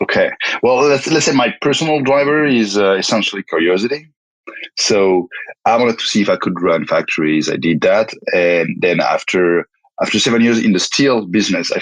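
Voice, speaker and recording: A man with a French accent, fairly quick pace and very even loudness. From France. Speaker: tech company founder and CEO. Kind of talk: interview. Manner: halting, many repetitions and fillers.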